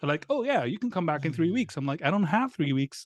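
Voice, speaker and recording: A man speaks with a Greek accent and very wide pitch swings. The sound is dry and close with no echo, over a quiet background. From Greece. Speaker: tech company founder. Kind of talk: casual chat.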